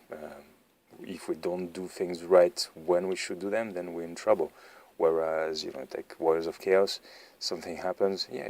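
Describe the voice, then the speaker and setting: A man with a very deep, low voice, in a French accent, at a moderate pace. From France. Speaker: tabletop wargaming YouTuber. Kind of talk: battle report commentary. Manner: flat, not enthusiastic; hesitant, many fillers.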